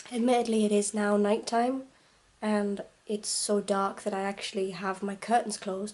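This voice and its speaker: At a moderate pace, a quiet woman with a medium pitch talks in a monotone, flat way. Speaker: vlogger. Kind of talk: vlog.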